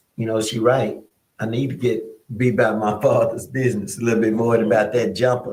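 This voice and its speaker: Somewhat breathy and medium in pitch, a man speaks at a fairly quick pace in a flat, monotone way. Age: 60s. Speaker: pastor. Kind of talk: casual chat.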